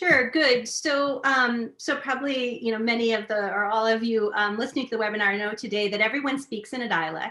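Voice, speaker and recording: A bright, sharp tone with a Midwestern accent, fairly quick pace, hardly any pauses and ordinary pitch variation. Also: woman, fairly high pitch for a woman. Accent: Midwestern, nasalized vowels. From US Midwest. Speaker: literacy researcher. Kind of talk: webinar talk.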